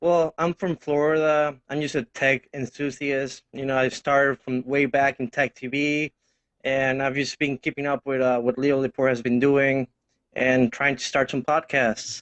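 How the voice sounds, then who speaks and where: Monotone, flat delivery with a slight Mexican accent. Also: man, fairly high pitch for a man, moderate pace. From Mexico. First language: Spanish. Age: 20s. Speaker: tech enthusiast guest. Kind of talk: casual tech chat. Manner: halting, with stammers and fillers.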